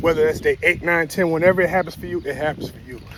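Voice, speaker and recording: With an American accent, a man speaks at a high pitch. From Chicago, US. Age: 40s. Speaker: vlogger. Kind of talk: casual monologue. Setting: outdoors, walking dog. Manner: casual.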